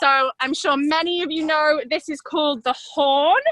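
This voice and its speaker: In an English accent, a woman projects a raised voice at an extremely high pitch, her tone bright and sharp, with ordinary pitch variation at a moderate pace in a dry, close sound with no echo. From England. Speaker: riding instructor. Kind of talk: tutorial.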